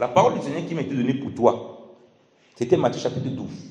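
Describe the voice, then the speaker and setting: There is audible room echo as a man speaks at a medium pitch and a fairly quick pace. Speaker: preacher. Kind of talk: sermon. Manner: halting.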